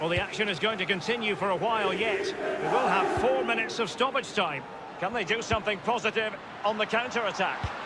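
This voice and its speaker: A man with a high voice projects it loudly at a fairly quick pace, keeping his loudness very even with ordinary pitch variation amid noticeable background noise. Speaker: football commentator. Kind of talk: live football commentary. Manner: fast-paced, clipped play-by-play delivery.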